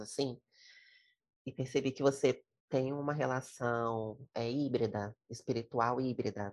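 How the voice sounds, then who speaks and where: Her pitch very deep and low, a woman speaks at a fairly slow pace with fairly even intonation in a very clean recording with a silent background. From Brazil, Espírito Santo (Vitória). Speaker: podcast host, psychologist. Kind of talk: casual interview conversation.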